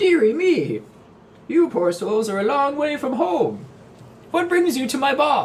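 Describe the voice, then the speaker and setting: A put-on character voice broken by long, frequent pauses. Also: man, extremely high pitch for a man, fairly slow pace. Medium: actual play. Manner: folksy, indifferent, knowing.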